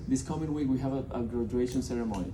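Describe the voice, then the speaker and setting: The man's medium-pitched voice carries audible room echo. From Colombia (Bogota). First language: Spanish. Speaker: nonprofit representative. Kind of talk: speech to a business audience. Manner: halting, many fillers and repeated words.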